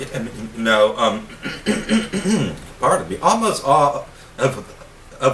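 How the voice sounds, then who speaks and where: Here a man talks at a very slow pace at medium pitch with ordinary pitch variation. Noticeable background noise is present. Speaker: wood carver. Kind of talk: casual talk to camera. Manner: stuttering, disfluent.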